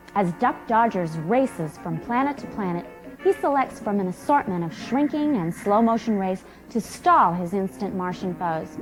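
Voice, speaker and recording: Very wide pitch swings from a woman at a moderate pace, with music in the background. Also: medium pitch for a woman. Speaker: presenter. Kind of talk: infomercial product presentation.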